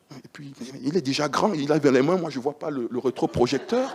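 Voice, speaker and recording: A man talks in an animated tone while noticeable background noise plays behind him. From Central Africa. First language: Banana (Chadic language) (speaking French). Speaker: preacher. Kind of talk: sermon.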